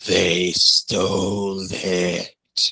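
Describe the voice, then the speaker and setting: In a put-on character voice, a man growls out croaky, raspy words at a very deep, low pitch. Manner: slow, eerie.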